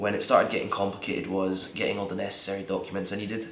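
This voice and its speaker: A man with a Scottish accent, audible room echo and noticeable background noise. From Scotland. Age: 20s. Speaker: vlogger and English teacher. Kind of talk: casual vlog talk. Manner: halting, many fillers.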